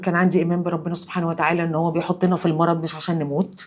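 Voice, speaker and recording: In an Egyptian accent, a woman speaks with a calm tone at a fairly low pitch. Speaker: cancer survivor. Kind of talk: testimony.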